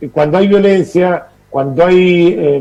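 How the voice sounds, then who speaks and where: A man with a plain, everyday voice speaks at a fairly slow pace, his pitch fairly high and his pitch variation ordinary. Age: 60s. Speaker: political commentator. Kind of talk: TV interview.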